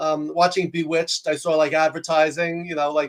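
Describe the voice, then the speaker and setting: A man talks very fast and loud with a New York accent. His voice sits high in pitch. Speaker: executive coach and professor. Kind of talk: interview conversation.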